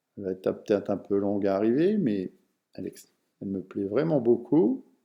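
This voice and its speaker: With ordinary pitch variation, the talking unfolds at a moderate pace. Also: man, fairly low pitch for a man. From France, Vosges. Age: 60s. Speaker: personal development speaker. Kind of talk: online lecture. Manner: halting, with many fillers.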